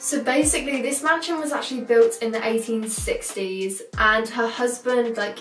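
A woman speaks with a high pitch and ordinary pitch variation, hardly pausing at all. Light background noise and audible room echo sit around her voice. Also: moderate pace. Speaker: vlogger. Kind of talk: casual vlog chat. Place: home room.

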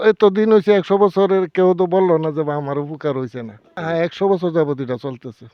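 Ordinary pitch variation marks a man's high-pitched voice with a Bangladeshi accent. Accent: rural Bangladeshi dialect. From Bangladesh, rural village. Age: 70s. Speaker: village folk healer and farmer. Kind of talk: interview testimony.

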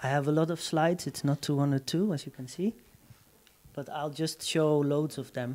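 Intonation stays fairly even while the speech keeps a moderate pace. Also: man. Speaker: artist presenting work; presenter. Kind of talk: artist talk. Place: hall. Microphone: handheld.

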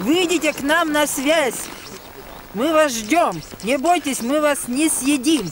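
Recorded dry with no echo and light background noise, a woman speaks at a high pitch and a very slow pace. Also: ordinary pitch variation. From Russia. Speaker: local resident activist. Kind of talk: public meeting speech. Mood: earnest, mildly indignant. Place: street. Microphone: camera far.

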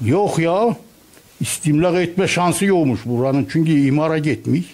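This man speaks at a very slow pace. His pitch is fairly high, with ordinary variation. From Turkey. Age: 70s. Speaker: retiree. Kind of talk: street interview. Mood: complaining, animated. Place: shop. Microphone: handheld.

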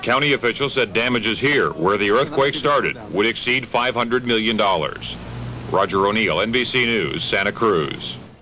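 Over noticeable background noise, a man at a medium pitch talks with hardly any pauses, very even loudness and ordinary pitch variation. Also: fairly slow pace. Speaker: TV news reporter. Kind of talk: 1989 TV news report narration.

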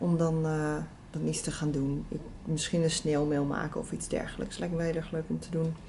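A woman's very deep, low pitch in a monotone, flat intonation, with light background noise. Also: moderate pace. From Netherlands. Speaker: vlogger. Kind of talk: casual vlog talk to camera. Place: home room.

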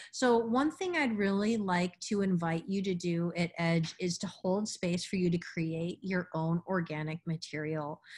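A woman speaks at a fairly slow pace with hardly any pauses and a somewhat breathy sound. Her pitch is fairly low, with ordinary variation. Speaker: meditation teacher. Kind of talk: instructional workshop. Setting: video class with participants.

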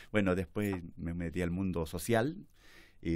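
A man talks against a quiet background. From central Chile, Chimbarongo, Colchagua; Chile. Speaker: politician; guest. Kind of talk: interview. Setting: studio. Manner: halting. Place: studio. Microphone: studio mic.

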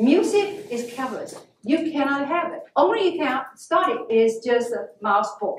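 A woman speaks at a moderate pace with lively intonation. Light background noise and audible room echo are present. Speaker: guest. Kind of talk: lecture. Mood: earnest storytelling about hardship. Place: classroom. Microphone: camera far.

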